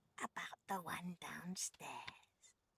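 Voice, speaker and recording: A put-on character voice, female-sounding, whispering in a playful tone. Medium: video game. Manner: syrupy endearments laced with menace; playful, purring, predatory.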